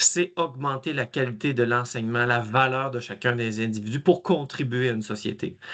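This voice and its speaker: Over a quiet background, a man talks at a medium pitch and moderate pace. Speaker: math education trainer. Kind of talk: webinar presentation.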